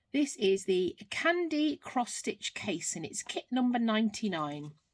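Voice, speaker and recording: Loud and fairly high-pitched, a woman speaks with a British accent. Her pace is fairly slow, and her pitch swings very widely. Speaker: craft vlogger. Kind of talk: unboxing video, casual. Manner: unscripted, with ums and errors.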